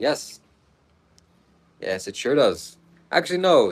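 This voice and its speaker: Over a silent background in a very clean recording, a man speaks at a fairly slow pace. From Toronto, Canada. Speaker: livestreamer reading chat. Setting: livestream from Vietnam. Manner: casual, chatty.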